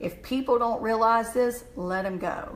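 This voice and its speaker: Over noticeable background noise, a woman with a Southern US accent speaks with fairly even intonation. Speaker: motivational speaker. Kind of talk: motivational live stream talk; reading mantras aloud. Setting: live video stream.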